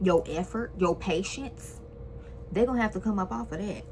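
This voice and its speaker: An animated tone over music in the background. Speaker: tarot card reader. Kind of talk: tarot reading.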